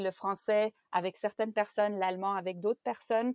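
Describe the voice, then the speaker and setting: A woman's unremarkable speaking voice at medium pitch, moderate in pace with fairly even intonation, on a very clean recording with a silent background. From Belgium. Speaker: translation project manager. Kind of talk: interview.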